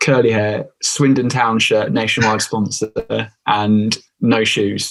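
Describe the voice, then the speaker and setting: Speaking very slowly with an English accent, a man keeps his loudness very even, his pitch medium and his intonation fairly even. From England, Stamford. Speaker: author, former footballer. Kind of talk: casual chat.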